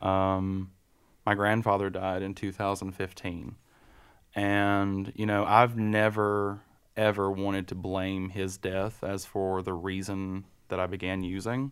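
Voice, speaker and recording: A man with an American accent talks at a fairly slow pace and fairly low pitch in a monotone, flat intonation, in a very clean recording with a silent background. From western North Carolina. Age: 30s. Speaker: person in recovery. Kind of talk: casual interview. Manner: halting.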